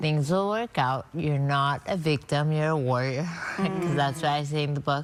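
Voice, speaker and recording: A woman with a very deep, low pitch speaks at a very even loudness over noticeable background noise. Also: ordinary pitch variation, moderate pace. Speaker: author and doctor. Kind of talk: TV news interview. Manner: slurred speech; halting.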